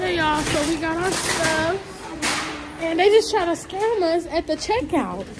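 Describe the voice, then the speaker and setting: A woman's extremely high-pitched voice with lively intonation, dry with no echo, over noticeable background noise. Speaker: lifestyle vlogger. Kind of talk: casual vlog chat. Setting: outdoors and in a grocery store. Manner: animated. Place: market. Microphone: phone near.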